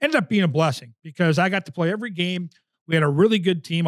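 A man with an American accent speaks at a high pitch with ordinary variation, the sound dry and close with no echo on a very clean recording with a silent background. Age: 50s. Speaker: podcast host and hockey TV analyst. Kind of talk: casual interview.

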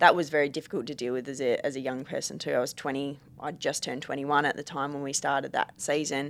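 A woman's very deep, low voice with an Australian accent, very fast and with hardly any pauses, flat and monotone, on a very clean recording with a silent background. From Perth, Western Australia. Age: 20s. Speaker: Australian rules football player. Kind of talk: casual chat.

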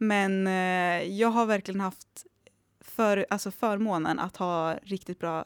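Recorded very cleanly against a silent background, with a dry, close sound and no echo, a woman speaks at a fairly slow pace in a medium pitch with fairly even intonation. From Dalarna, Sweden (Avesta). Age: 20s. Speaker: HR manager. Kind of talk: interview.

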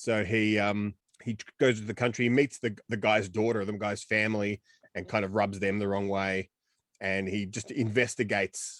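A man with an Australian accent, fairly low pitch and a moderate pace, in a dry, close sound with no echo. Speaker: film podcast co-host. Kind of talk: casual chat. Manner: animated.

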